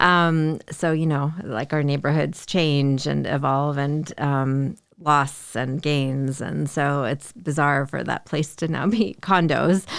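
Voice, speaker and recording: Speaking very slowly in an American accent, a woman has a very deep, low pitch and ordinary pitch variation. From Chicago suburbs, Illinois. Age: 40s. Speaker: community organizer. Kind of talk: interview.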